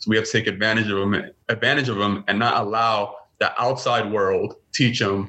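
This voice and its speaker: A man with a New York accent. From Brooklyn, New York City. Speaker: father and masculinity podcaster. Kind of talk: interview conversation.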